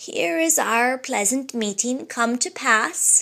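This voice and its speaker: A woman's put-on character voice, high in pitch and fairly slow in pace. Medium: read story. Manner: archaic speech, thou and thee.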